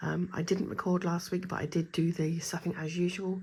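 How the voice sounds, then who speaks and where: Somewhat breathy and monotone with flat intonation, a woman speaks at a medium pitch and a moderate pace in a very clean recording with a silent background. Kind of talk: casual talk to camera.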